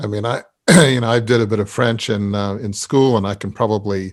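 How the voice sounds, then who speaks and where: Recorded very cleanly against a silent background, a man with an Australian accent speaks at medium pitch with fairly even intonation. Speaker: podcast host. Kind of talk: interview.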